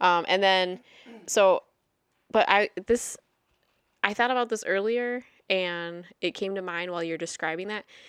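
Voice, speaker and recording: On a very clean recording with a silent background, a woman at medium pitch talks at a fairly slow pace with ordinary pitch variation, long, frequent pauses and big swings in loudness. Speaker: podcast co-host. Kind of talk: casual chat.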